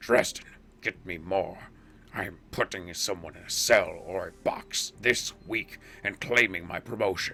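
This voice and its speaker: A man in a put-on character voice speaks at a moderate pace with a raspy, fairly low pitch, his loudness swinging widely over clear background noise. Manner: commanding, driven; voice put on and unsteady.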